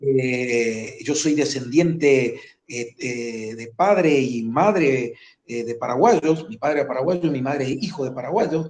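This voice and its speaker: Very slow and fairly high-pitched, a man talks with ordinary pitch variation and big swings in loudness. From Formosa, northern Argentina. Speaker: war veteran, gendarmerie commander. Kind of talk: interview.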